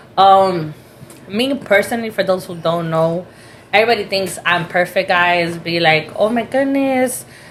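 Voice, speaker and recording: A woman talks at a medium pitch and a moderate pace, with ordinary pitch variation. Noticeable background noise is present. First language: Spanish. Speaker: spiritualist reader. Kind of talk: casual chat.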